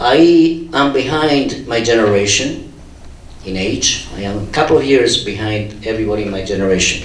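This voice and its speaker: A man at a medium pitch speaks at a moderate pace with lively intonation. Noticeable background noise and audible room echo fill the recording. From Andalusia, Spain (Huelva, Seville). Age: 60s. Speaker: scientist, university research group leader. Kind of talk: conference panel talk.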